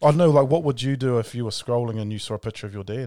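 Very fast speech comes from a man with a New Zealand accent, medium in pitch with a dark, mellow tone. His pitch varies in an ordinary way in a very clean recording with a silent background. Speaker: podcast host, minister. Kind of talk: casual chat.

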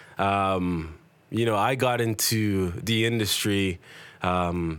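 In a very clean recording with a silent background, a man with a fairly low pitch and a plain, everyday voice speaks with ordinary pitch variation. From Toronto, Canada (Jamaican family). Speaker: event promoter and talent booker. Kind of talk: casual interview.

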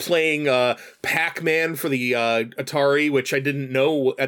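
A man has a normal speaking voice at a medium pitch with ordinary pitch variation. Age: 40s. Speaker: streamer and guest co-host. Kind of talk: casual chat. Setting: studio.

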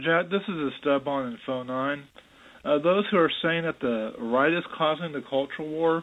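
An ordinary speaking voice from a man, fairly high in pitch, with ordinary pitch variation at a moderate pace. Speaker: caller. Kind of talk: voicemail comment.

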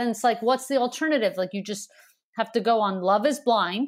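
A woman with a normal speaking voice and a fairly high pitch talks at a fairly quick pace. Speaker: comedian. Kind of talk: casual chat.

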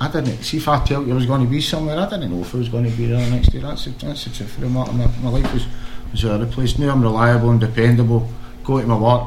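Over noticeable background noise, a man with a Glaswegian accent talks very fast at medium pitch with ordinary pitch variation. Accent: Glaswegian Scottish. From Scotland, Glasgow area. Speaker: former footballer, charity founder. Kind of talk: casual chat.

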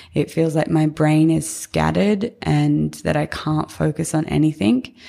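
A fairly slow-paced woman's voice in an Australian accent. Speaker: podcast host and founder. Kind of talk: solo podcast monologue. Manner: casual, conversational, filler words.

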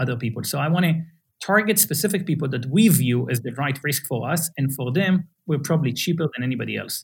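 Very fast and somewhat breathy, a man talks in a fairly high voice with lively intonation. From Israel. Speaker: startup founder. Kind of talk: interview.

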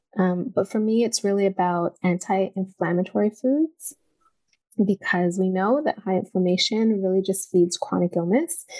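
A woman with an unremarkable speaking voice talks at a moderate pace and medium pitch, with ordinary pitch variation, in a dry, close sound with no echo. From Canada, Toronto. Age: 40s. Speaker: personal trainer and nutritionist. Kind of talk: interview conversation.

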